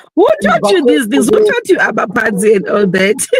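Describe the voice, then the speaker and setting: Very wide pitch swings from a woman at a moderate pace. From South Africa. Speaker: filmmaker and actress. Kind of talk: interview answer.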